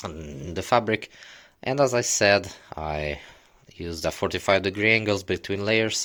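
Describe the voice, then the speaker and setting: A man speaks at a fairly low pitch and a moderate pace, his tone bright and sharp with ordinary pitch variation. Long, frequent pauses break up his speech. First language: not English (English is third language). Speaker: DIY hobbyist vlogger. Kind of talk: tutorial. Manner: halting, many fillers.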